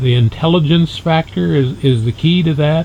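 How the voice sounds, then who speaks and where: Speaking at a moderate pace in a normal speaking voice, a man keeps to ordinary pitch variation. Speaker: interviewer. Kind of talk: interview questions.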